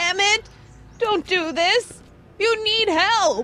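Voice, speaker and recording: In a put-on character voice, a woman speaks at an extremely high pitch and a very slow pace. Background noise is clearly heard. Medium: video game. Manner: haughty, scolding, self-righteous.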